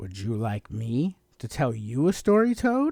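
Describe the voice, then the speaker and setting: A man uses a put-on character voice at a medium pitch. He talks at a moderate pace. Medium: read story.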